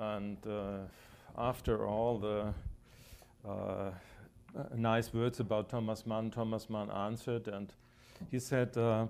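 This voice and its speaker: With a German accent, a man speaks at a very slow pace in a monotone, flat intonation, leaving long, frequent pauses. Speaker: German labor official. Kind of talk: panel discussion. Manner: hesitant.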